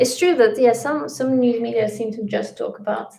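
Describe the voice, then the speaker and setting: Her accent is Russian. The woman talks at a moderate speed. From Latvia, Russian-speaking family. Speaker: YouTube travel vlogger. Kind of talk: livestream chat. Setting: livestream.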